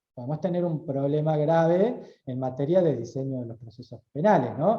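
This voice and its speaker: A normal speaking voice, a man at a moderate pace with ordinary pitch variation. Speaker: lawyer and university lecturer. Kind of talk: lecture. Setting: auditorium talk, also streamed on video call.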